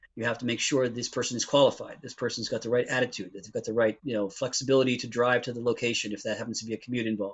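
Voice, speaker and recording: A man with a medium pitch talks at a very fast pace. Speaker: IT recruiter. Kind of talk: interview. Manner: animated.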